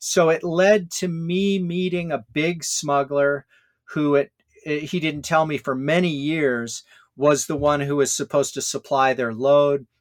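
An unremarkable speaking voice from a man with an American accent, fairly high in pitch, at a moderate pace, with a dry, close sound and no echo. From Hawaii and California. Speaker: author and scholar. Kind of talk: interview.

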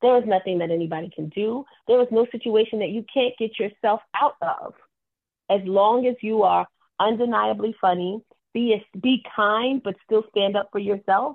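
A woman talks in a plain, everyday voice with an American accent. Her pitch is fairly high, with ordinary pitch variation. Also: moderate pace. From New York. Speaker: stand-up comedian. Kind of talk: interview. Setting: phone call.

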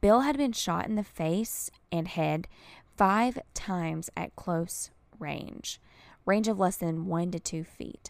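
Very slow, upbeat speech from a woman at a medium pitch. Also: ordinary pitch variation, very clean recording, silent background. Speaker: true crime podcast host. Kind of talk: true-crime narration. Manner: measured, storytelling cadence with grim emphasis; conversational, upbeat, chatty in intro.

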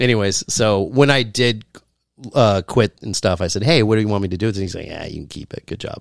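With an unremarkable speaking voice, a man talks at a fairly low pitch and a fairly quick pace with big swings in loudness. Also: ordinary pitch variation, dry, close sound with no echo. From US. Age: 40s. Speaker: aspiring stand-up comedian. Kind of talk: casual chat.

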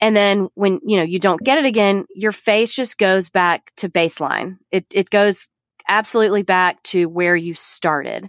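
A woman with a plain, everyday voice talks at a moderate pace and medium pitch, with ordinary pitch variation, very even loudness, and a dry, close sound with no echo. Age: 30s. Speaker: nurse practitioner. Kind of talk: casual interview.

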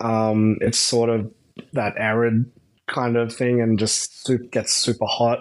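A man speaks with an Australian accent at a very slow pace. His intonation is monotone and flat, and his loudness stays very even. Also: medium pitch for a man. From Australia, outback (Mount Isa area). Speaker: adult content creator. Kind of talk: casual interview chat. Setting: remote call from Australia.

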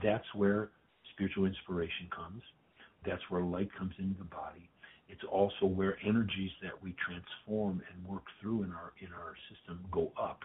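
Very deep and low, a man's voice holds a monotone, flat intonation at a moderate pace. His loudness swings widely. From US Midwest, Detroit. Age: 70s. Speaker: spiritual healing teacher and author. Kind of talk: podcast interview.

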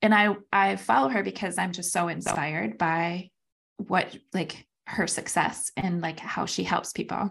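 With vocal fry and a fairly low pitch, a woman talks at a fairly slow pace with ordinary pitch variation. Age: 40s. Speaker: podcast co-host. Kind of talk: casual chat. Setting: call with co-host.

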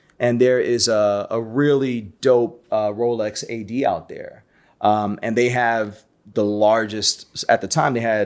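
This man has an unremarkable speaking voice with an American accent. His pitch is medium and his intonation fairly even. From New York City (Brooklyn). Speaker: watch collector, community founder. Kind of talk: casual chat.

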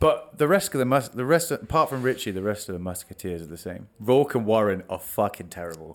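A man's very fast talk with hardly any pauses, a fairly low pitch, very wide pitch swings, and big swings in loudness. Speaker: podcast host. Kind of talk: casual chat. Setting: studio. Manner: joking, talkative.

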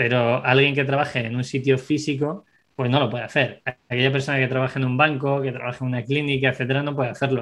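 Very fast and monotone, a man talks at a medium pitch in a bright, sharp tone with flat intonation. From Spain, Segovia (Castile). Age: 30s. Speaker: entrepreneur. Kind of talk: interview.

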